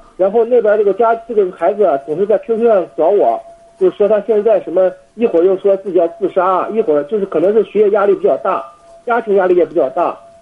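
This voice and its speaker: Against noticeable background noise, a man with a high voice speaks at a very fast pace. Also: ordinary pitch variation. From Jinan, Shandong, China. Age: 20s. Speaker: university exchange student, caller. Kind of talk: phone call-in conversation. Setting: international phone call. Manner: halting, many fillers.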